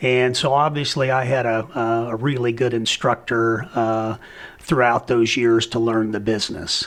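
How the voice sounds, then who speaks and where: A man with an American accent talks at a moderate pace in a medium pitch, his intonation flat and monotone. His loudness stays very even, and there is noticeable background noise. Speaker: auctioneer. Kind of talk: interview.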